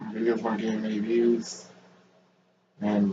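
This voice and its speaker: A man at a medium pitch and moderate pace, with audible room echo. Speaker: YouTuber. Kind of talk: casual vlog commentary.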